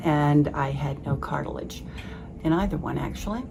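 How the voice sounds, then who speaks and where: Noticeable background noise sits under this recording. The woman speaking has a very deep, low pitch. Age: 70s. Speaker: patient testimonial. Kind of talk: testimony. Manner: halting, many fillers.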